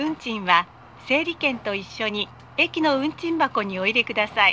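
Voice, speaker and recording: A woman's bright, sharp, high-pitched voice with very wide pitch swings, at a fairly slow pace, over light background noise. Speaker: voice actor. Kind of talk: automated train announcement. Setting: PA system. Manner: polite, formal. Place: train.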